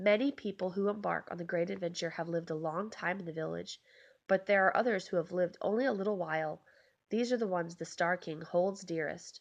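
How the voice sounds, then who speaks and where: A raspy, put-on character voice runs at a fairly quick pace. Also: female-sounding voice, medium pitch for a woman. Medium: read story. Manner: kind, gentle.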